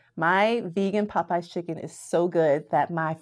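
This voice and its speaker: In an American accent, a woman speaks at a moderate pace with a fairly low pitch and fairly even intonation, a normal speaking voice. The recording is very clean with a silent background. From Florida, US. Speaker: math professor. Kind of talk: casual interview.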